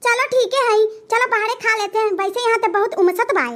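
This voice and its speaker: A cartoonish character voice from a woman, squeaky and extremely high, at a fairly quick pace. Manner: bossy, demanding.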